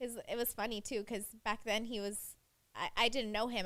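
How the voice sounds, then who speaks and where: A woman speaks loudly. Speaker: podcast guest. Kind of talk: casual chat.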